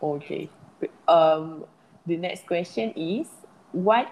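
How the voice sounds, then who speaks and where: A very slow pace with ordinary pitch variation. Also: woman. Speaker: podcast host. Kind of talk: casual interview.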